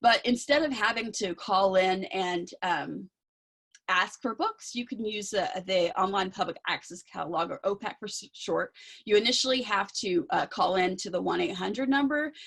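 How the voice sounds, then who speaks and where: Her intonation lively, a woman speaks at a medium pitch. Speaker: outreach coordinator for a talking book program. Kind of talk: presentation. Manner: fast.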